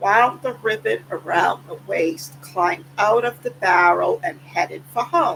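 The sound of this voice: Someone reads in an unforced voice.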